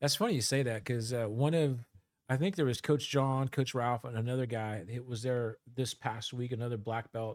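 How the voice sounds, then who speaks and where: The recording is very clean, with a silent background. A man speaks at a moderate pace with a medium pitch and ordinary pitch variation. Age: 50s. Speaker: healthcare worker. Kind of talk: casual chat. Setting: studio. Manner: halting.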